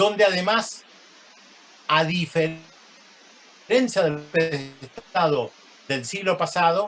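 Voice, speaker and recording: Noticeable background noise behind a man's high pitch. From Argentina. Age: 60s. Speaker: journalist and sociologist. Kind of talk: lecture. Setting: video call.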